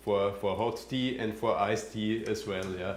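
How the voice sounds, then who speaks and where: In a room with audible echo, a man with a fairly low pitch speaks at a moderate pace in a monotone, flat intonation. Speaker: passive house building expert. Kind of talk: Q&A after a presentation. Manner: halting, many fillers.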